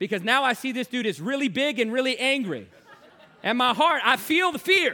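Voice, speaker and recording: Using a raised, projected voice, a man with an American accent speaks at an extremely high pitch with lively intonation and a moderate pace. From Virginia, US. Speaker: evangelist. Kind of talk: sermon.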